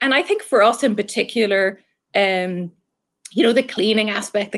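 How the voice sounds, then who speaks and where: In an Irish accent, a woman speaks at a moderate pace. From Ireland. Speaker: marketing executive. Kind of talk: interview.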